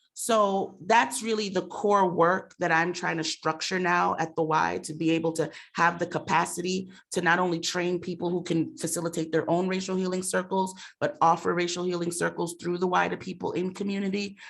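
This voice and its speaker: A woman speaks at a fairly quick pace with a fairly low pitch, fairly even intonation, and vocal fry. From Mount Vernon, New York. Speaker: racial equity director at a nonprofit. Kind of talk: panel discussion. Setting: room with audience and Zoom.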